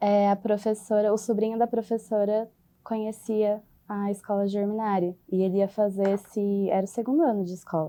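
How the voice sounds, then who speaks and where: A woman's dark, mellow tone in a monotone, flat intonation at a moderate pace, on a very clean recording with a silent background. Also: medium pitch for a woman. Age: 20s. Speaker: HR supervisor, former student. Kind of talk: podcast interview. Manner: hesitant, with fillers.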